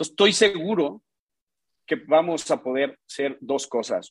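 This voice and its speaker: A man talking at a fairly slow pace. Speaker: investment firm executive. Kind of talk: casual chat.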